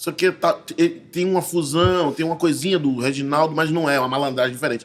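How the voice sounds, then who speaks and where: Fairly high in pitch, a man speaks at a very fast pace. His pitch variation is ordinary. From Bahia, Brazil (grew up in Salvador). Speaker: actor and visual artist. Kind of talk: casual interview chat.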